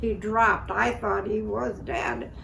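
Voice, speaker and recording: A woman's very slow speech against noticeable background noise. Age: 80s+. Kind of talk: personal storytelling, interview answer.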